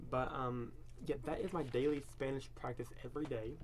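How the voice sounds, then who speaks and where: This is a man speaking. Room echo is audible. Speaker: language learner vlogger. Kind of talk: casual vlog monologue. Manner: halting, many repetitions and fillers.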